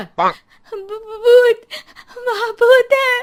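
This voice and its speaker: Someone shouts in a put-on character voice pitched extremely high. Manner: screaming in fear.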